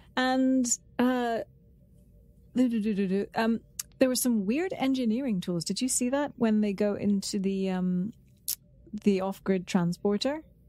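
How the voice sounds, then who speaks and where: Music plays in the background as a woman speaks at a medium pitch and moderate pace with ordinary pitch variation. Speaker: podcast co-host. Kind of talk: casual chat. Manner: playful.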